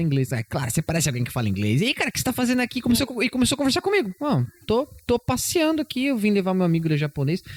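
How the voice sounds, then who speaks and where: Speaking at a very fast pace with hardly any pauses, a man with a high pitch makes very wide pitch swings while keeping very even loudness, in a dry, close sound with no echo. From Brazil. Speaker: English teacher. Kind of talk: casual chat.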